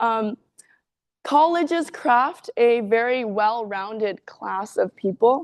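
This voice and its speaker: A loud woman's voice with lively intonation, a dry, close sound with no echo, and a quiet background. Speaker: university student speaker. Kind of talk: seminar presentation.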